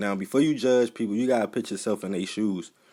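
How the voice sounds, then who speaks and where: A man speaks fairly quickly with an American accent. His pitch sits fairly low, an ordinary speaking voice. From Baltimore, Maryland. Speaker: YouTube reporter and videographer. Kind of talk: casual talk to camera.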